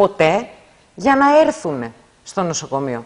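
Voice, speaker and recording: A woman's fairly low pitch at a fairly slow pace, against a quiet background. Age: 50s. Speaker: hospital workers' union representative. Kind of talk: interview. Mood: critical, indignant about staffing. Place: studio. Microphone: lapel.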